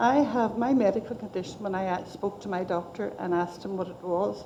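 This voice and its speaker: A woman speaks with a Northern Irish accent. Her pace is fairly quick. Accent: Northern Irish (Belfast). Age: 60s. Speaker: patient giving evidence to an inquiry. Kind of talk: testimony.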